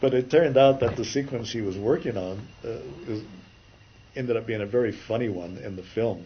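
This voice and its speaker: A man's somewhat breathy voice at a fairly quick pace, with big swings in loudness. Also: medium pitch for a man, ordinary pitch variation. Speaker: animation story artist. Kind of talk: interview.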